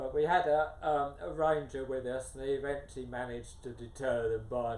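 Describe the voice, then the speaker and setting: A man speaks with fairly even intonation, and the room echo is audible. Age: 70s. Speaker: adventure runner and author. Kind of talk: interview. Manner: hesitant with fillers.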